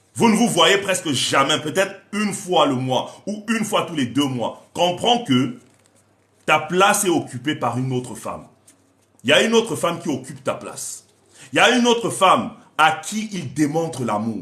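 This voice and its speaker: A man's high voice, bright and sharp in tone, with very wide pitch swings. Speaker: relationship coach. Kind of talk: live stream talk. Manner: animated.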